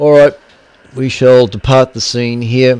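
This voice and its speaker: The speaker is a man. He has an Australian accent. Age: 60s. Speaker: amateur radio operator and stream host. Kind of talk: casual radio chat. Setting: radio repeater net, streamed.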